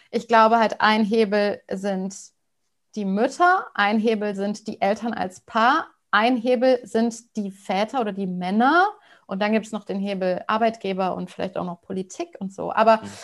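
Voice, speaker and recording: A plain, everyday voice from a woman, fairly high in pitch with ordinary pitch variation and big swings in loudness, at a moderate pace against a quiet background. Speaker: podcast host and couples coach. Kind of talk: interview conversation.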